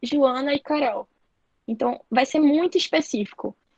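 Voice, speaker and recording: The sound is dry and close with no echo as a woman speaks at a moderate pace with fairly even intonation. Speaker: marketing trainer. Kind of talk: online training lecture.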